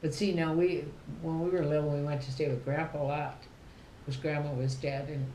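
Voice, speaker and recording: Speaking at a fairly quick pace with an American accent, a woman has a very deep, low pitch and monotone, flat intonation, with audible room echo. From southern Minnesota. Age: 80s+. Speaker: family elder interviewee. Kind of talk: casual chat.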